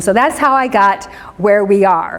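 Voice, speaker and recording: With a US Midwestern accent, a woman speaks at a medium pitch with ordinary pitch variation. Audible room echo and noticeable background noise surround her voice. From US Midwest, Indianapolis. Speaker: pastor and social worker. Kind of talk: church class talk. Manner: fast.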